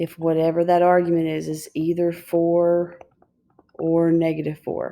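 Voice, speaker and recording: A woman's fairly low, dark and mellow voice with monotone, flat intonation. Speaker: high school math teacher. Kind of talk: video lecture. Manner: fast.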